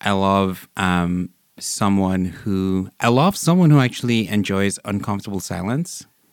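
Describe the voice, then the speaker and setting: The recording is very clean, with a silent background. A man talks fairly slowly at a fairly low pitch, with ordinary pitch variation. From Vancouver, Canada; born in Nigeria. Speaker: guest describing perfect date. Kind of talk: casual interview. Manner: friendly, exuberant, relaxed.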